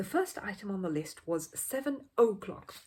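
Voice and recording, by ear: A woman speaks at medium pitch and a moderate pace, with big pitch swings. Her tone is slightly mellow with a slightly husky edge.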